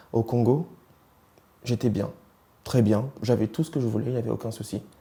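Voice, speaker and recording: A man talks at a fairly quick pace with a medium pitch. Noticeable background noise runs behind him. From East and Central Africa. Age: 20s. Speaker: interviewee sharing life story. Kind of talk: interview testimony. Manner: hesitant, with many fillers.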